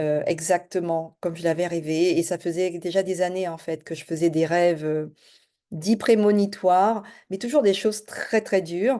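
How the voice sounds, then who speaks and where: A woman's dark, mellow voice, fairly low in pitch, with fairly even intonation, a fairly slow pace, big swings in loudness and a quiet background. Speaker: life and business coach. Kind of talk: self-introduction video. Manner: hesitant, many fillers.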